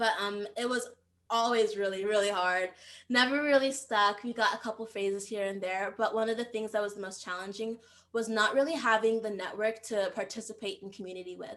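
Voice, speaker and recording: A woman with an unremarkable speaking voice talks at a fairly high pitch. She moves at a fairly quick pace with fairly even intonation. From United States, Nigerian immigrant family. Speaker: startup founder. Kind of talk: podcast interview. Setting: remote call.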